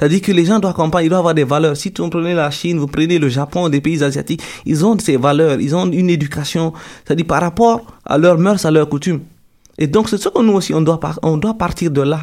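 A man with a fairly high pitch and ordinary pitch variation talks very fast in a very clean recording with a silent background. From Guinea, Peul from Télémélé. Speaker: university student. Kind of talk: radio interview.

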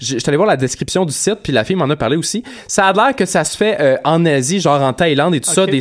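Someone speaks at a very fast pace with lively intonation. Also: man. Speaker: podcast co-host. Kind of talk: casual chat.

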